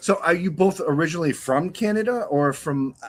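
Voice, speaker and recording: A man with a New England accent, lively intonation and a moderate pace. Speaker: talk show host. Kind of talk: interview. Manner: halting.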